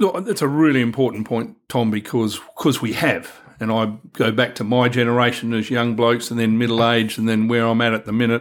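Speaking at a fairly quick pace with hardly any pauses, a man uses a medium pitch, fairly even intonation and an Australian accent. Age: 60s. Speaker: men's health worker and podcast host. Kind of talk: casual discussion.

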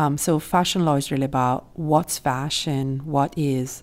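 On a very clean recording with a silent background, a woman with an Italian accent speaks at a fairly slow pace, her very deep, low pitch held to fairly even intonation. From Italy. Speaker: law professor. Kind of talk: interview. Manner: halting, many fillers.

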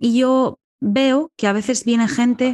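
In an unremarkable speaking voice, a woman talks at a fairly high pitch with fairly even intonation, the sound dry and close with no echo. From Galicia, Ordes near A Coruña. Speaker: sociologist and writer. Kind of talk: interview.

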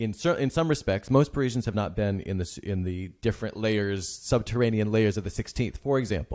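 Very clean recording with a silent background, where a normal speaking voice moves at a fairly quick pace with hardly any pauses. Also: man, fairly low pitch for a man, ordinary pitch variation. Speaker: podcast host. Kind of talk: interview conversation.

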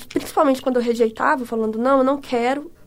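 Her pitch variation is ordinary as the woman speaks. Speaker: podcast co-host. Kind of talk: casual chat.

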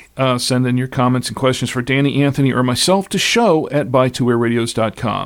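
A normal speaking voice from a man at medium pitch, moving at a fairly quick pace. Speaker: podcast host. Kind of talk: casual panel discussion about radio gear.

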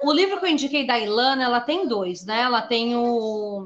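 A woman's high voice at a fairly slow pace. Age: 40s. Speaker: horror writer. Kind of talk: interview on a live stream.

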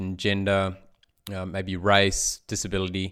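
The recording is very clean, and the background is silent. The speaker is a man with an Australian accent. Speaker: podcast host. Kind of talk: interview.

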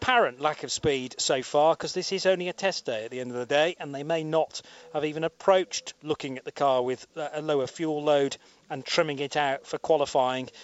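Delivered in an ordinary speaking voice at a fairly quick pace, the speech has ordinary pitch variation and big swings in loudness. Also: man. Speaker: radio commentator. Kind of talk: live commentary. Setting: commentary box at race circuit.

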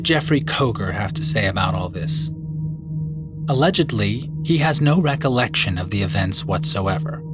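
Over background music, a man at a medium pitch swings his voice very widely up and down. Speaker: true crime narrator. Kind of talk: true-crime narration, scripted and serious. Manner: measured, grave, storytelling pace; formal, clear and expository.

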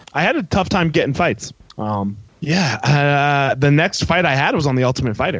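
A man speaks at a moderate pace with lively intonation and very even loudness. He has a normal speaking voice. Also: fairly high pitch for a man. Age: 30s. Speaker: former MMA fighter. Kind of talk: heated debate.

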